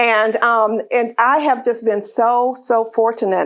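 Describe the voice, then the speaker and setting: A high-pitched woman with a Southern US accent. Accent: Southern American. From US South, northwest Florida. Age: 60s. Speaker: author and leadership speaker. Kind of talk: talk to a luncheon audience.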